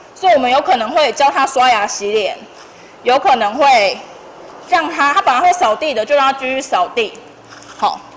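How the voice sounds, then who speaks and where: With a Taiwanese accent, a woman speaks at a high pitch with very wide pitch swings and long, frequent pauses, light background noise behind her. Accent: Taiwanese Mandarin. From Tainan, Taiwan. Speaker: long-term care nurse. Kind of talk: school career talk. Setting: classroom with students. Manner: fast talker; casual, humorous. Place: classroom. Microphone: handheld.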